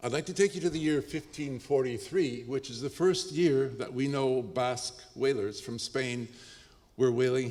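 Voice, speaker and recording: A man with an ordinary speaking voice and a Canadian accent talks at a medium pitch and moderate pace, with ordinary pitch variation. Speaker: professor. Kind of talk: lecture.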